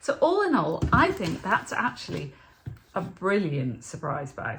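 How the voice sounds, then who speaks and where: A woman talks in a British accent. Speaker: budget food vlogger. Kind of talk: casual vlog haul.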